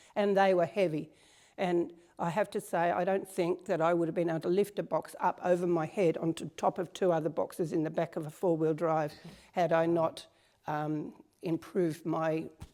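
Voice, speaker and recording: A woman talks in an Australian accent at a moderate pace. Her fairly low voice has a dark, mellow tone and fairly even intonation. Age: 70s. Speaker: strength training client. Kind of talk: interview.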